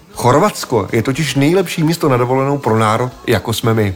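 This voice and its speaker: Speaking at a very fast pace with lively intonation, a man with a medium pitch comes through over noticeable background noise. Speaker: podcast host. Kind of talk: scripted narration.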